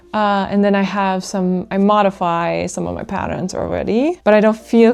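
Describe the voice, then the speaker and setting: Over music in the background, a woman speaks at a moderate pace with fairly even intonation. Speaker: crochet vlogger. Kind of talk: casual vlog talk. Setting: at home with a sleeping baby.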